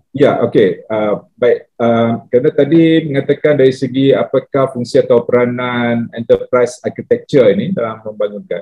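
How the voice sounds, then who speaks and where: This man has a medium pitch, ordinary pitch variation and a moderate pace. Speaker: government tax official, panelist. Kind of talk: conference panel discussion. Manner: hesitant, many fillers.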